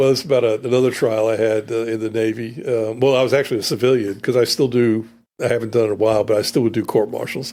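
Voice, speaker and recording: Talking at a very fast pace, a man keeps a medium pitch in a monotone, flat intonation on a very clean recording with a silent background. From North Carolina (born New York, moved at eight). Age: 60s. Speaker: trial lawyer. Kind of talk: podcast interview. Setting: studio.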